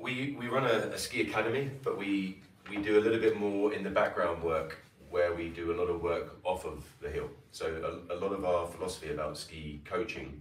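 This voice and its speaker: Light background noise and audible room echo. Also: man, fairly low pitch for a man, ordinary pitch variation. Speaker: ski coach presenter. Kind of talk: presentation talk. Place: meeting room. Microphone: camera far.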